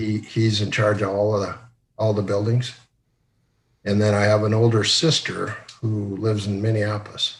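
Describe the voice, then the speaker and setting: This man speaks at a moderate pace in a fairly low, somewhat breathy voice with monotone, flat intonation. Long, frequent pauses break up his speech, and audible room echo surrounds it. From northwest Iowa, US Midwest. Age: 60s. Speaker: retired company executive. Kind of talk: interview. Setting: video call.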